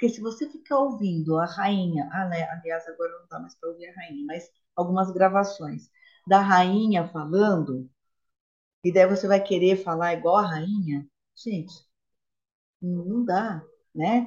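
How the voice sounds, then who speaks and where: At a fairly slow pace, a woman with a medium pitch and a somewhat breathy voice speaks with ordinary pitch variation, big swings in loudness and long, frequent pauses. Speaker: podcast co-host. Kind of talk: casual chat.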